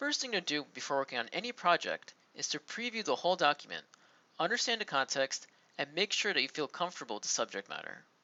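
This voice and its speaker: A man speaks at a very fast pace. His high voice swings very widely in pitch. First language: Turkish. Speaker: software tutorial presenter. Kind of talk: tutorial.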